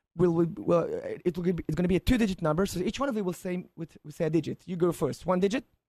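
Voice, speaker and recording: In a dark, mellow tone and an Israeli accent, a man talks at a very fast pace with a high pitch and ordinary pitch variation, the sound dry and close with no echo. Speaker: mentalist performer. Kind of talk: live radio demonstration.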